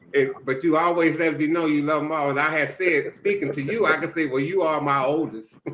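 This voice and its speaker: A plain, everyday voice: a man speaking fairly high and fairly quickly, with ordinary pitch variation. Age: 60s. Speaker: retired mentor. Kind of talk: casual chat.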